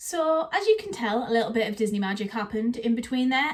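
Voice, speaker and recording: With an English accent, a woman speaks at a fairly quick pace and a fairly high pitch. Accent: British, English. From northeast England, Teesside. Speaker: Disney vlogger. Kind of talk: casual vlog talk to camera.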